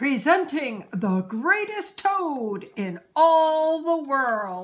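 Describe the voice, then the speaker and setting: A woman puts on a high-pitched character voice. She goes very slowly, with very wide pitch swings. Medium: read story. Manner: grand, announcing.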